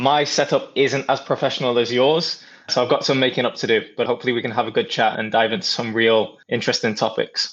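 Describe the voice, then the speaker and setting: Speaking at a very fast pace with hardly any pauses, the man keeps a medium pitch and fairly even intonation. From North Wales. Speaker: partnerships professional, former soccer player. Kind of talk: interview.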